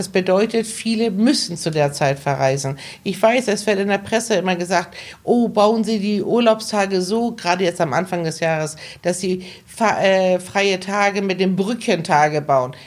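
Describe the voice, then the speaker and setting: Her pitch sits in the medium range, and she has an ordinary speaking voice. The woman's pitch rises and falls in an ordinary way. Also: moderate pace. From Hamburg, northern Germany (born in Iran). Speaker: travel agent. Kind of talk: interview conversation.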